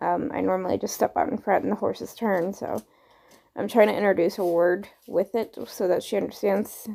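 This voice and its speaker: A woman with a dark, mellow tone and vocal fry speaks with ordinary pitch variation. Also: medium pitch for a woman, moderate pace. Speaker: horse trainer. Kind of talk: tutorial.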